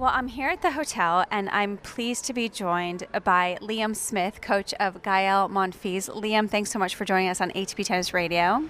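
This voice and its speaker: A woman has a normal speaking voice at a medium pitch, with ordinary pitch variation. She talks at a moderate pace with hardly any pauses. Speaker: radio reporter. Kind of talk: interview. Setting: player lounge.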